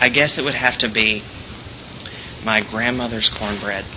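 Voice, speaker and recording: A man's medium-pitched voice in an American accent, monotone and flat, at a moderate pace, with audible room echo and noticeable background noise. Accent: Southern US accent, mostly hidden, sneaks in. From Alabama, near Birmingham. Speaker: theater student. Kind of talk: personal storytelling. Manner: hesitant, many fillers and repeats.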